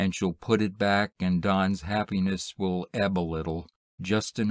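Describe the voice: Someone reads aloud plainly with fairly even intonation against a quiet background.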